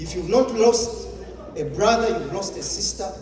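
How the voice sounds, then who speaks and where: A man talks over noticeable background noise, with audible echo in the room. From Uganda. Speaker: public speaker. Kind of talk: motivational speech.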